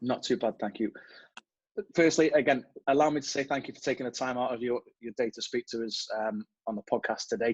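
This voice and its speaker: At a very fast pace, a man with an English accent talks at medium pitch and fairly even intonation, in a dry, close sound with no echo. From England. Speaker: podcast host. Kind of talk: podcast interview.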